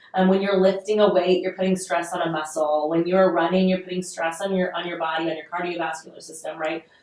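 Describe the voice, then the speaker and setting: This woman's voice is fairly low in pitch, with fairly even intonation and noticeable background noise around it. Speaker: podcast host. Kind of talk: solo podcast talk. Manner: conversational, many filler ums.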